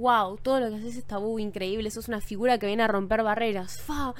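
The speaker is a woman with a fairly high pitch. Her tone is animated. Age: 20s. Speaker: podcast host. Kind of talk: casual monologue. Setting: home studio. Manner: code-switching Spanish and English.

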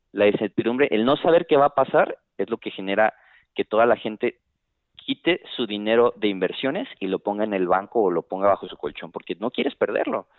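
He speaks in an ordinary speaking voice at a medium pitch. This man's pace is fairly quick and his intonation lively. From Guadalajara, Jalisco, Mexico. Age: 20s. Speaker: supply chain worker and amateur investor. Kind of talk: casual chat.

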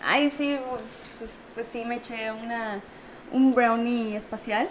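The woman talks fairly slowly at a fairly high pitch with ordinary pitch variation. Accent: Mexican. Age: 20s. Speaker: entrepreneur. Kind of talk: casual chat. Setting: studio.

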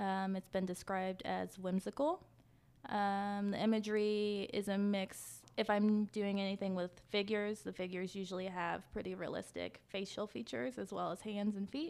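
A woman with an American accent and an ordinary speaking voice, medium-pitched with fairly even intonation at a moderate pace, on a very clean recording with a silent background. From West Virginia, Clay County. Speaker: muralist. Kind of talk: casual chat.

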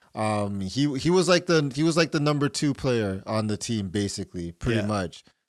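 The sound is dry and close with no echo, in a very clean recording with a silent background. A man at a medium pitch talks at a moderate pace with very wide pitch swings. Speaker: podcast co-host. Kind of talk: casual chat. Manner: loud.

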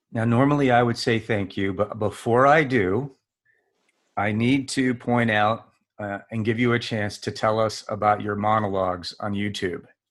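A man with an American accent talks at a moderate pace and a fairly low pitch. He has a plain, everyday voice with fairly even intonation. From US. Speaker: podcast host. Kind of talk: podcast interview. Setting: video call.

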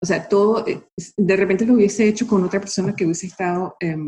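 Somewhat airy, her voice has a dark, mellow tone. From Venezuela. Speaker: marine biologist, novelist and nonprofit founder. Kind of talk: interview.

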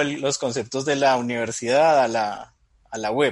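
Against a quiet background, a man's intonation stays fairly even. His pace is moderate. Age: 30s. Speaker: Bible teacher and comedy video creator. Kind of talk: casual chat.

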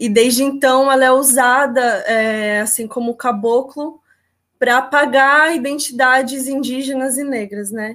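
A woman speaks in a high pitch with fairly even intonation. The recording is very clean and the background silent. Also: fairly slow pace. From São Paulo coast, Brazil. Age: 20s. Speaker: geography teacher and visual artist. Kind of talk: panel talk.

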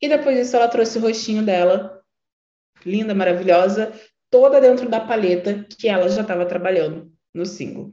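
The woman keeps a moderate pace. Her words carry audible room echo. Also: medium pitch for a woman, ordinary pitch variation. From Rio de Janeiro, Baixada Fluminense (Nilópolis). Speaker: creative strategist and workshop facilitator. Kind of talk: online workshop lecture.

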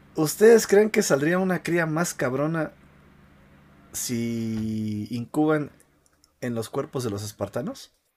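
A man with a Mexican accent speaks at a very slow pace, leaving long, frequent pauses. His fairly high pitch moves in very wide swings, in a very clean recording with a silent background. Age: 30s. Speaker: gaming podcast host. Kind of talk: casual chat.

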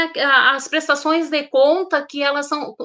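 A woman's raised, projected voice, bright and sharp in tone, at a moderate pace with ordinary pitch variation. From São Luís Gonzaga, Rio Grande do Sul. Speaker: school principal, mayoral candidate. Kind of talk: political livestream chat. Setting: online livestream.

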